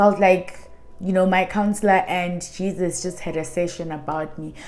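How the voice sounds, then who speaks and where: In a room with audible echo and noticeable background noise, a woman speaks at a moderate pace and medium pitch, her intonation monotone and flat while her loudness swings widely. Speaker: YouTuber. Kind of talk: personal testimony.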